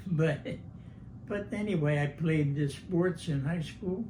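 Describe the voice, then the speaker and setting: A somewhat breathy man with an American accent, dark, mellow tone, moderate pace, ordinary pitch variation, and audible room echo. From New Jersey, Vineland. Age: 90s. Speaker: war veteran. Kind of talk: oral history interview. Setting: at home. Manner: halting.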